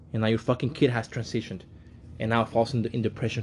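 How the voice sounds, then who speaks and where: Very fast in pace, a man talks at a medium pitch in a somewhat breathy voice. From Mexico. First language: Spanish. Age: 20s. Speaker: podcast host. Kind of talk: solo commentary monologue. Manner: animated.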